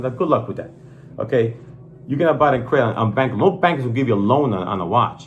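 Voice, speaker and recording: A man's animated voice at medium pitch, very fast, with audible room echo and noticeable background noise. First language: not English. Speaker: watch channel host. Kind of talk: casual product review chat.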